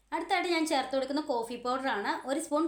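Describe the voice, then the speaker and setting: A woman is speaking. Her pitch is high. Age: 40s. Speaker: beauty vlogger. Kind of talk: tutorial.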